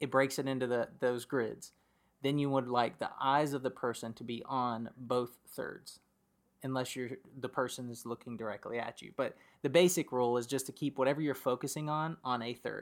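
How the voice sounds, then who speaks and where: A man speaks in an ordinary speaking voice at medium pitch. His pace is moderate and his intonation fairly even. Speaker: guest, host's husband. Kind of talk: casual interview.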